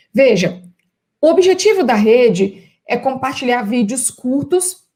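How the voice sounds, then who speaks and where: A woman with a Minas Gerais accent speaks at a very slow pace in a high pitch. Her tone is dark and mellow, with very wide pitch swings. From Minas Gerais, Brazil. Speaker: professor and consultant. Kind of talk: live stream talk for university students.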